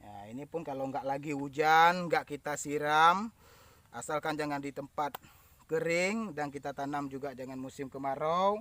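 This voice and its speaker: On a very clean recording with a silent background, a man speaks at a moderate pace in a fairly high pitch, with a bright, sharp tone, ordinary pitch variation and big swings in loudness. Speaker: farmer and farming vlogger. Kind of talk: outdoor tutorial vlog. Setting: outdoors in yard around home. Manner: casual, repetitive.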